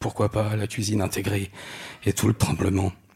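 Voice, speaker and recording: A somewhat breathy male voice. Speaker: storyteller. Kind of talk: personal testimony.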